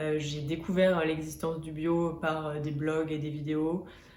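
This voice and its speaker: A woman speaks at a very deep, low pitch, with audible room echo and noticeable background noise. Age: 20s. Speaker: beauty and lifestyle vlogger. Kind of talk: vlog talking to camera. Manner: hesitant, many filler sounds.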